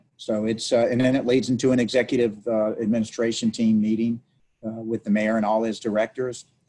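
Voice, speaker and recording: Monotone, flat delivery from a man with a New Orleans accent, medium in pitch at a moderate pace. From New Orleans, Louisiana. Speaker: city council member. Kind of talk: interview. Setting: video call.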